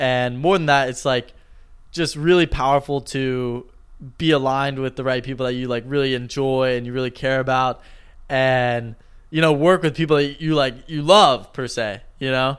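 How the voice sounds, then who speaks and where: At a moderate pace and with fairly even intonation, a man with a medium-pitched voice, a normal speaking voice, talks in a very clean recording with a silent background. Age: 20s. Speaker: podcast co-host and YouTuber. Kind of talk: casual chat.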